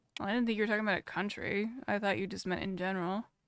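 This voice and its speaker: On a very clean recording with a silent background, a woman with an American accent speaks at medium pitch in a monotone, flat intonation. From US West Coast, San Francisco Bay Area. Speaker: live streamer. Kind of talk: casual reaction stream chat. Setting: live stream. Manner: fast.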